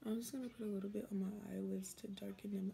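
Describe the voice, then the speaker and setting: Somewhat breathy and dark, mellow in tone, a woman talks at a very fast pace with ordinary pitch variation over light background noise. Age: 20s. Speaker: beauty vlogger. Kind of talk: casual chat. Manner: casual and chatty. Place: home room. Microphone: phone near.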